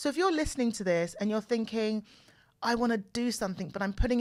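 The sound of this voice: A woman speaks at a fast pace. Her pitch is medium.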